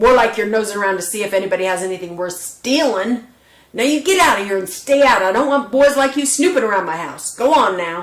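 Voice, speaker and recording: A woman's gravelly, put-on character voice, fairly high in pitch, with lively intonation and a very fast pace. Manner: gruff, suspicious.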